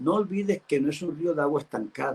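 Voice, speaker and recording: A man speaks with a dark, mellow tone. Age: 70s. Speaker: pastor. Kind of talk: sermon.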